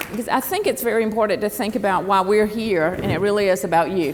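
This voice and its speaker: A woman speaks with a Southern US accent and fairly even intonation. Noticeable background noise and audible room echo surround her voice. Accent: Southern US (Georgia). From US South, southern Georgia. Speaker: former government official, panelist. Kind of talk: panel discussion. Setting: stage with audience.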